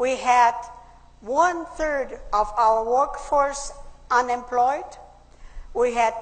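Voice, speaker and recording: Against audible room echo, a woman with a German accent and a high pitch speaks very slowly, with ordinary pitch variation. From Austria. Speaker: public speaker. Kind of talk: speech.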